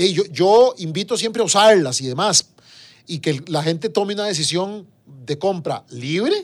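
This man's voice is high-pitched. He speaks at a moderate pace with lively intonation. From Costa Rica, San José (Desamparados). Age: 40s. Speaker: government minister. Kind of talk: interview. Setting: radio studio. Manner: halting, with many fillers and repetitions.

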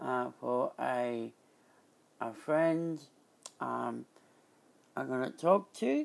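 A man with an Australian accent talks at a very slow pace. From Australia, Byron Bay area. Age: 30s. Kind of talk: podcast intro; community radio chat.

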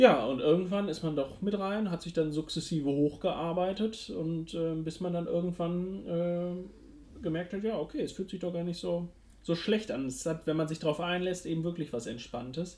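Pitched high for a man, this male voice has a dark, mellow tone, ordinary pitch variation and a moderate pace. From Ruhr area, Germany. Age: 20s. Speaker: podcast co-host, university student. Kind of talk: casual chat.

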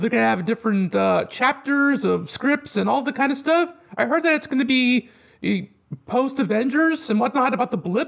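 Extremely high pitch for a man, ordinary pitch variation, very even loudness and a moderate pace. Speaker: podcast co-host. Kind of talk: casual chat. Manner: energetic, animated.

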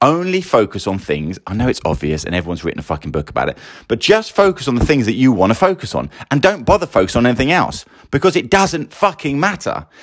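A man with an English accent, medium pitch, very wide pitch swings and vocal fry, at a very fast pace. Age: 40s. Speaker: podcast host. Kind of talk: casual monologue. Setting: sound booth. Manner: rambling, sighing. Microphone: new sound booth, sounds echoey.

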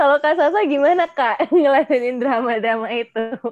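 At a fairly slow pace, a high-pitched woman speaks with lively intonation in a dry, close sound with no echo. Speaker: student podcast host. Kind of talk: casual interview. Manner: animated.

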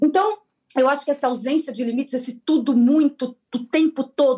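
A woman is speaking. Her pace is fairly quick. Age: 40s. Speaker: journalist and content creator. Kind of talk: radio interview.

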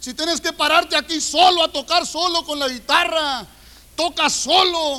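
Raised and projected, a man's voice carries an animated tone with ordinary pitch variation. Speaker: preacher. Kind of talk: sermon. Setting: church. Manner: colloquial, humorous, confrontational.

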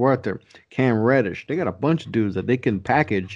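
A man's unremarkable speaking voice, medium in pitch, at a fairly quick pace over a quiet background. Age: 30s. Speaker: sports podcaster. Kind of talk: casual chat. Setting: video call.

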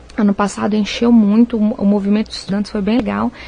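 Against noticeable background noise, a woman with a fairly high pitch talks at a fairly quick pace. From Minas Gerais, Brazil (Viçosa). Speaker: nutritionist. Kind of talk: radio interview.

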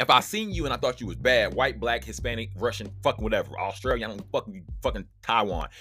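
A man's animated tone at a very fast pace, with hardly any pauses. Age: 30s. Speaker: solo podcast host. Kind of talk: casual monologue.

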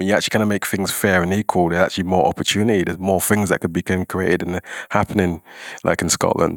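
A man's very deep, low voice, very fast and flat in a monotone, on a very clean recording with a silent background. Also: dry, close sound with no echo. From London. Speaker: arts organisation founder and podcast host. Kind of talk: scripted narration; panel discussion.

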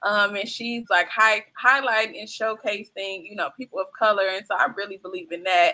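A woman speaks in a bright, sharp tone, her loudness swinging widely while her pitch varies in an ordinary way. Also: medium pitch for a woman, moderate pace. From US Midwest, Chicago South Side (Englewood). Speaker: filmmaker and producer. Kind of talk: casual interview.

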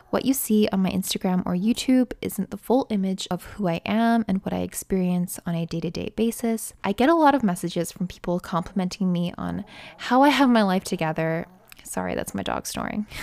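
A woman with a Canadian accent speaks in a plain, everyday voice at a medium pitch and a fairly quick pace. Her pitch varies in an ordinary way, and the sound is dry and close with no echo. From Canada. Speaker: nursing student podcaster. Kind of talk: casual monologue. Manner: conversational.

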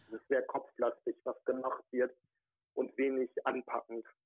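The speaker is a man. His delivery is fairly slow. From Ruhrgebiet area near Wuppertal, western Germany. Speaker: regional party chairman. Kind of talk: interview. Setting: phone call.

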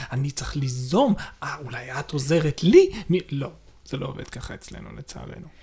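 A man talks at a moderate pace with big swings in loudness. Music can be heard in the background. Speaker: podcast co-host. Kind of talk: casual chat.

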